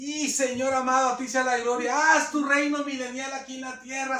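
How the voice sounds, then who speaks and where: A man's voice is raised and projected. His pitch is extremely high. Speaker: preacher. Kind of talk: sermon. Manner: fast.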